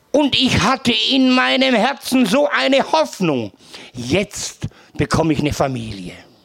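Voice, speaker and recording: A high-pitched man speaks fairly slowly with very wide pitch swings and very even loudness, over noticeable background noise. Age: old. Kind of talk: testimony. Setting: live event with audience.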